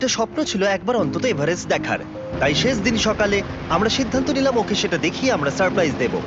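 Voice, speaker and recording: Lively intonation marks this man's high-pitched voice. Noticeable background noise can be heard. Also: very even loudness. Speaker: dubbing voice-over artist. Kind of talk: documentary-style video narration. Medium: dub.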